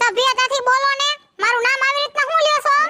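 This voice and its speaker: A put-on character voice moves at a moderate pace with fairly even intonation and very even loudness. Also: woman, extremely high pitch for a woman. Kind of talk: rustic village comedy. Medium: comedy sketch. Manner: loud, combative.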